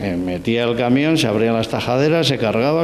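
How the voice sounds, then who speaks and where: Audible room echo and noticeable background noise surround this recording. A man speaks at a moderate pace in a medium pitch. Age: 60s. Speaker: sculptor giving guided exhibition tour. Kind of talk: guided tour explanation. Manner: halting, many fillers and restarts.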